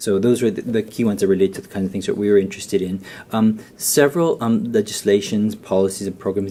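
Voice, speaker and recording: Soft-spoken and fairly quick, a man talks in a dark, mellow tone. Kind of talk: conference presentation. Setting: round table event with audience. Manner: halting, many fillers and repeats.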